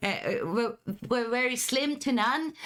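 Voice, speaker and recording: A woman speaks with a German accent in a bright, sharp tone. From Germany. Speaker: streamer. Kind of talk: live stream chat. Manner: halting.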